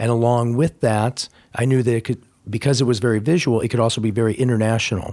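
On a very clean recording with a silent background, a man with an American accent speaks at a fairly quick pace in a medium pitch. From US Midwest (Indiana). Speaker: street style photographer. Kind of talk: interview conversation. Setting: office.

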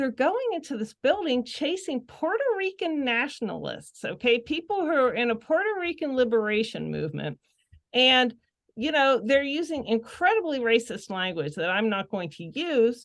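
A high-pitched woman with a Western Pennsylvania accent, very wide pitch swings and a moderate pace. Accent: Western Pennsylvania American. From Pittsburgh area, Pennsylvania. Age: 50s. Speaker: novelist. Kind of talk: casual chat.

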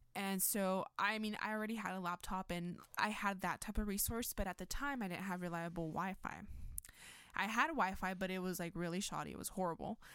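In a normal speaking voice, a woman talks with fairly even intonation. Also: medium pitch for a woman, fairly quick pace. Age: 20s. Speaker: college student. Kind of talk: interview.

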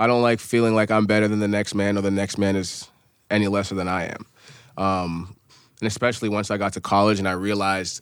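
With an American accent, a man talks at a fairly quick pace and a fairly low pitch. He has an unremarkable speaking voice. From US, New Hampshire. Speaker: former college athlete and rapper. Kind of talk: casual interview.

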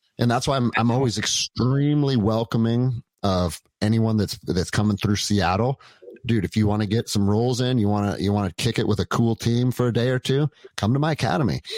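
In a very clean recording with a silent background, a man with a plain, everyday voice speaks at a medium pitch with ordinary pitch variation, the sound dry and close with no echo. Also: fairly quick pace, very even loudness. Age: 40s. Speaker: jiu jitsu gym owner and former police officer. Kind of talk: casual chat.

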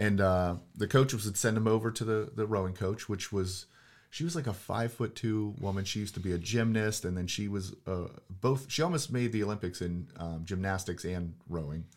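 Heard in a very clean recording with a silent background, a man with a Western Pennsylvania accent talks at a fairly low pitch and moderate pace with ordinary pitch variation. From Pittsburgh, Pennsylvania. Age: 40s. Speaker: real estate investor. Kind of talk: casual chat.

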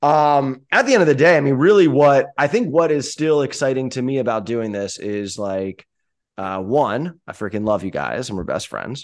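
Against a quiet background, a man with an unremarkable speaking voice talks at medium pitch and a moderate pace, his intonation lively. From US Northeast. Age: 30s. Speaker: podcast host. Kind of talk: casual chat.

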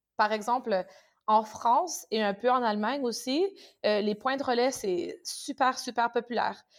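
A woman speaks with a Canadian French accent at a fairly slow pace, her voice fairly high in pitch with ordinary pitch variation. The recording is very clean, with a silent background. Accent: Canadian French accent, noticeable. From Canada. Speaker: tech company partner manager. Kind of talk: interview.

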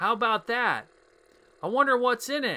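A man puts on a gruff character voice. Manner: gruff, dismissive, oblivious.

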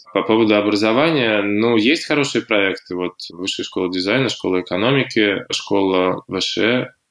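Ordinary pitch variation and a moderate pace mark a plain, everyday voice. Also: man. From Russia, Sosnovy Bor. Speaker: founder of a fashion and art project. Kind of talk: interview.

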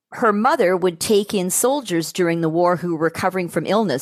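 In a very clean recording with a silent background, a woman with a Canadian accent uses a normal speaking voice, fairly low in pitch, with ordinary pitch variation and a fairly quick pace. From Toronto, Canada. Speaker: public relations manager. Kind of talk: interview.

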